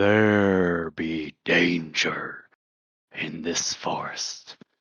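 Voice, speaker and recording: Putting on a character voice, a man speaks quietly and very slowly in a raspy tone at a very deep, low pitch. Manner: hushed, warning.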